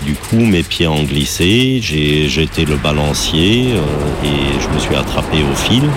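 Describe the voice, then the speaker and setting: A man's very deep, low voice at a very slow pace, lively in intonation and very even in loudness, with hardly any pauses and music in the background. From Germany. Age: 40s. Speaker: tightrope walker. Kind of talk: interview testimony. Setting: outdoors.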